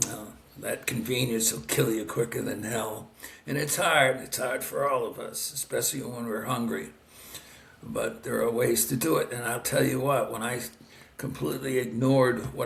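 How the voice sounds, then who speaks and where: Noticeable background noise and audible room echo both color this man's speech. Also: moderate pace. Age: 60s. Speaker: doctor. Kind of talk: interview. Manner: halting, many fillers.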